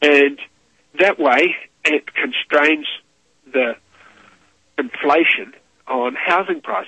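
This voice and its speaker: With long, frequent pauses at a very slow pace, a man speaks in a New Zealand accent at a fairly high pitch, with ordinary pitch variation. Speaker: monetary reform activist. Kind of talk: radio interview.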